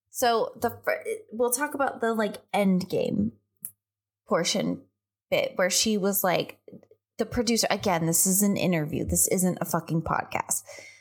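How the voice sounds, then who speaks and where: Very clean, with a silent background, the recording holds a woman speaking at a fairly slow pace. Her loudness stays very even. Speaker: podcast host. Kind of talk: casual chat about books.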